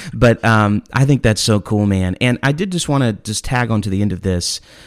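Talking at a moderate pace, a man with a plain, everyday voice has a fairly low pitch and ordinary pitch variation. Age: 30s. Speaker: podcast host. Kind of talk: casual chat.

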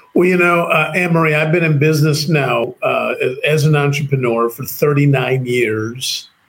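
Speaking with a Chicago accent, a man keeps a fairly slow pace. His fairly high voice holds fairly even intonation. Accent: American (Chicago). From US, Chicago. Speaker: entrepreneur and author. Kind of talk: interview conversation. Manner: halting, with many repeated words.

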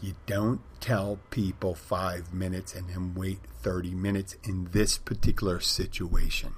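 A man puts on a character voice, very deep and strained yet calm in tone. He keeps a moderate pace and fairly even intonation. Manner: strained, tightly controlled, trying to stay calm.

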